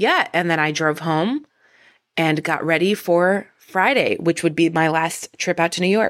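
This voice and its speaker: A woman speaks in a fairly low voice with ordinary pitch variation, recorded very cleanly against a silent background. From northern New Jersey. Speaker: podcast host and musician. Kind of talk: casual monologue. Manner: animated.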